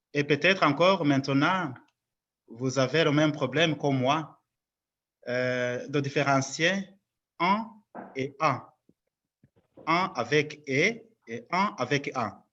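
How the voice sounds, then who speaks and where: Marked by long, frequent pauses, the voice has a non-native accent and a bright, sharp tone, moving at a very slow pace with ordinary pitch variation. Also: man, fairly high pitch for a man. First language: not French (speaking French). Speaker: lecturer at a parish conference. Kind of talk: lecture.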